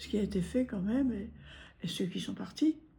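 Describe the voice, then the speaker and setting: A woman's medium-pitched voice, dark and mellow in tone, with vocal fry, ordinary pitch variation and a moderate pace. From Normandy, France (Granville). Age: 90s. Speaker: war-time witness. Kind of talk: testimony interview. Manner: halting.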